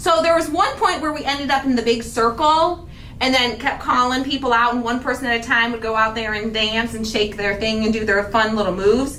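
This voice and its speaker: With an animated tone, a woman speaks at a fairly quick pace in a fairly high pitch with ordinary pitch variation, amid noticeable background noise and audible room echo. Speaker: craft channel host. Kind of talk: casual chat. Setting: livestream. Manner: fast.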